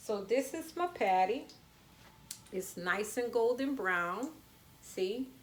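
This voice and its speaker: A woman speaks with a New Orleans accent. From US South, New Orleans. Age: 40s. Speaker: home cooking channel host. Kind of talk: live cooking demonstration. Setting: home kitchen, livestream. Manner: casual, chatty.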